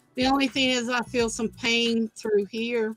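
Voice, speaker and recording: A woman's fairly high, monotone voice with flat intonation at a fairly slow pace, backed by music. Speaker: craft livestream host. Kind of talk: casual chat.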